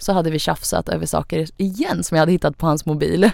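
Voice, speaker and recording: A woman speaks with vocal fry and fairly even intonation. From Sweden. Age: young. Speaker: influencer, young single mother. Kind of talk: casual chat. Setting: studio.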